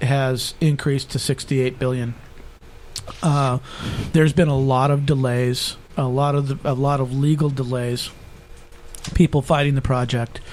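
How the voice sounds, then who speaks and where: Noticeable background noise is present. Through it, a man talks at a moderate pace. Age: 50s. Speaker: state assembly candidate. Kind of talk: political debate. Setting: studio.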